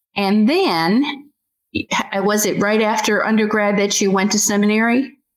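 A normal speaking voice from a woman with an American accent, fairly high in pitch with ordinary variation, very even in loudness, at a fairly slow pace. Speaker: podcast host interviewing creators. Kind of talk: interview conversation.

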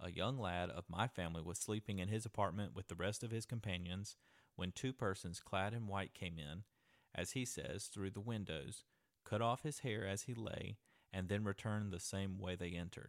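A man with a plain, everyday voice and fairly low pitch talks at a moderate pace with ordinary pitch variation, in a dry, close sound with no echo on a very clean recording with a silent background. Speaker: podcast host. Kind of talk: storytelling, reading a translated ancient letter aloud as a ghost story. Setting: traveling in Athens, Greece, recording a podcast. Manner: conversational, earnest, casually narrating.

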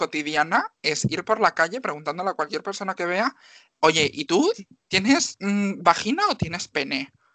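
A woman speaks in an ordinary speaking voice, fairly low in pitch with ordinary pitch variation, at a moderate pace. The sound is dry and close, with no echo. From Galicia, Spain (Marín, Pontevedra). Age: 20s. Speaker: X-ray technician and nursing student. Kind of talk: interview.

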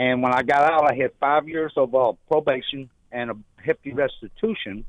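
This man speaks with a Southern US accent. His pitch variation is ordinary. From Louisiana, Shreveport. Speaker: caller in recovery. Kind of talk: testimony.

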